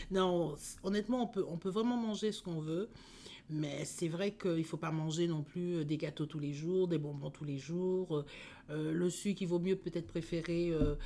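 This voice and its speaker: At a moderate pace, a woman talks in a dark, mellow tone with ordinary pitch variation. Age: 60s. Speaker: diabetes patient giving testimony. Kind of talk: interview testimony. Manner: hesitant, many fillers.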